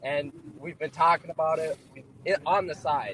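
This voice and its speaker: A man speaks at a moderate pace with an American accent. There is noticeable background noise. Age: 20s. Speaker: caller. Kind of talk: call-in sports talk.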